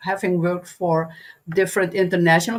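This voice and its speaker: Here a woman with a Dutch accent speaks at a medium pitch. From Netherlands. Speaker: anthology co-author. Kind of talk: panel discussion. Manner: halting.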